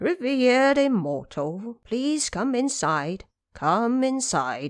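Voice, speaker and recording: Very slow, high-pitched speech from a woman doing a put-on character voice. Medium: audio drama. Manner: courteous, formal.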